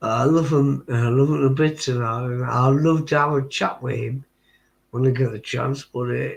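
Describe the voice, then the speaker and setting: At a moderate pace, a man with a strong Geordie accent speaks in a somewhat breathy voice. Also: medium pitch for a man. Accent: thick Geordie. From northern England, Tyneside. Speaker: livestream chat participant. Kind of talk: casual chat.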